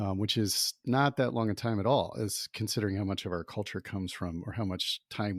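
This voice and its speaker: Fairly low in pitch, a man talks at a fairly quick pace in a normal speaking voice with ordinary pitch variation. The sound is dry and close with no echo, on a very clean recording with a silent background. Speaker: podcast co-host. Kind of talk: casual podcast conversation.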